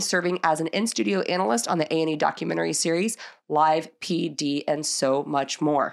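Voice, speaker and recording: A woman's very deep, low voice with vocal fry, lively intonation and a very fast pace, on a very clean recording with a silent background. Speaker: podcast co-host. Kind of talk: casual interview. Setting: studio.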